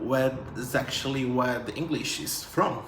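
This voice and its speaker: A man talks very slowly in a space with audible room echo and noticeable background noise. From northern Brazil (Belém, Pará). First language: Portuguese. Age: 20s. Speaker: vlogger. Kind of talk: casual chat to camera.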